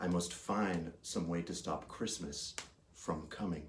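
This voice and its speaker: Growling in a put-on character voice, a man speaks at a fairly slow pace with a very deep, low pitch. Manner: growling, scheming.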